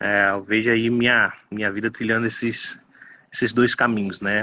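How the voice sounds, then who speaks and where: A plain, everyday voice delivers its words at a moderate pace with fairly even intonation. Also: man. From Baixada Santista, São Paulo state, Brazil. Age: 30s. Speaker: pastor. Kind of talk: interview.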